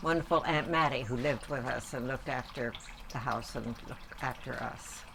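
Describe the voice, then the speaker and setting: Against noticeable background noise, a woman with an American accent talks at a moderate pace with very deep, low pitch and ordinary pitch variation. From New York area, US Northeast. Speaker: grandmother interviewed about her life. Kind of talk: family oral history interview.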